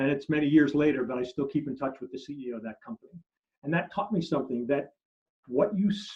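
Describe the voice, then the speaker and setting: With lively intonation, a man speaks in a fairly high, somewhat breathy voice. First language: German. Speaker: marketing consultant. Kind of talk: interview. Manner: halting.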